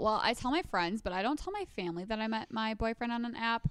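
A woman with an unremarkable speaking voice talks at a fairly quick pace. Her intonation is lively. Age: 20s. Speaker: podcast co-host. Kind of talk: casual chat.

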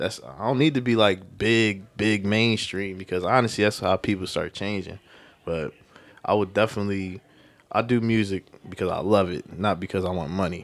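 The speaker is a man with a fairly low voice. His pitch varies in an ordinary way. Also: moderate pace. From West Philadelphia. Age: young. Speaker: rapper. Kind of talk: interview.

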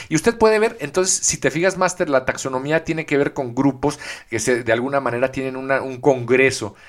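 A man's fairly high voice carries lively intonation at a moderate pace, with noticeable background noise around it. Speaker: podcast co-host. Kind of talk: casual chat. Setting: early morning recording.

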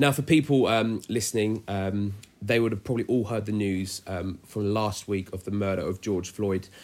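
This man has an English accent and a fairly low pitch. He talks with hardly any pauses. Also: moderate pace. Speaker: church youth podcast host. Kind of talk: casual chat. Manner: upbeat, frequent fillers.

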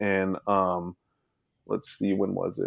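Fairly slow male speech. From Alaska. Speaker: guest sharing DNA discovery story. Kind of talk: casual interview.

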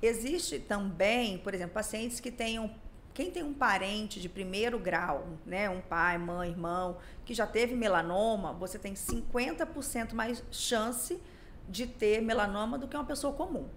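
A woman's fairly high voice, lively in intonation, at a fairly slow pace with audible room echo. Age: 40s. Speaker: dermatologist. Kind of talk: podcast interview. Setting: studio.

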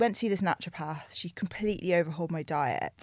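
With a southern English accent, a woman speaks at a fairly low pitch with ordinary pitch variation. The recording is very clean and silent behind her, with a dry, close sound and no echo. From London, England. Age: 30s. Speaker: nutritionist and yoga teacher. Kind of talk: casual interview chat.

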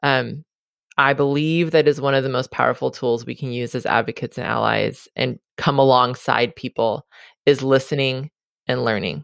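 In a very clean recording with a silent background, a woman with a Californian accent speaks in a very deep, low voice with vocal fry and fairly even intonation. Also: moderate pace, dry, close sound with no echo. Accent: Californian American. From Southern California. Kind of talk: interview conversation.

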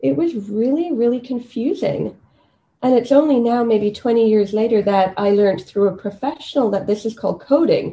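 A woman's fairly high, somewhat breathy voice has a dark, mellow tone and lively intonation. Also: moderate pace. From Kenya. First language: Swahili. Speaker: medical doctor and PhD student. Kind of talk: interview. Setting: at home.

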